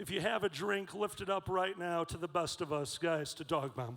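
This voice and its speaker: With a high pitch, a man talks at a moderate pace. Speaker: convention emcee. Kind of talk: live stage hosting. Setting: stage with audience. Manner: loud.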